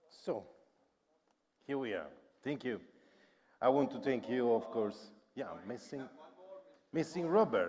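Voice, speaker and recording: Speaking at a fairly slow pace with long, frequent pauses, a man with an Italian accent uses lively intonation. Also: medium pitch for a man. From Italy. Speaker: panel moderator, cybersecurity researcher. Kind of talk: panel discussion.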